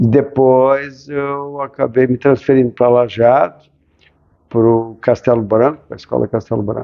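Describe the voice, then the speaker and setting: Here a man speaks at a very slow pace in a medium pitch. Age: 60s. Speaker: ophthalmologist, former student. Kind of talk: interview.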